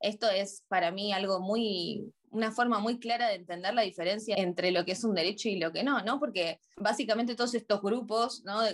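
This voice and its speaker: A woman talks at a moderate pace with hardly any pauses. Hers is a normal speaking voice, medium in pitch with ordinary pitch variation. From Argentina, Buenos Aires. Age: 30s. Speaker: psychologist. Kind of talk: interview.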